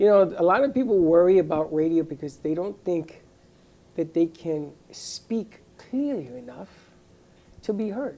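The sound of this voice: A fairly low, dark, mellow woman's voice in a Bronx accent, at a fairly slow pace, with very wide pitch swings and big swings in loudness.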